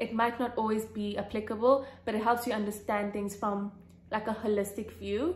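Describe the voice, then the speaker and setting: Somewhat breathy woman, fairly high pitch, fairly even intonation. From South Africa. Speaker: YouTuber sharing exam tips. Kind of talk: casual Q&A vlog. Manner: fast; hesitant with fillers.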